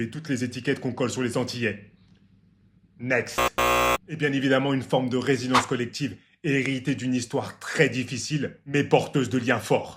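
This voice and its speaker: Talking at a fairly quick pace, a man speaks at a medium pitch. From Martinique roots. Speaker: health and longevity YouTuber. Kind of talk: casual explainer vlog. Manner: animated.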